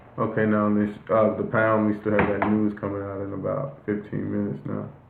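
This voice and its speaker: Noticeable background noise and audible room echo fill the clip. A man talks at a fairly quick pace with fairly even intonation. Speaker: forex trading coach. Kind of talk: live trading session walkthrough. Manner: halting, many fillers.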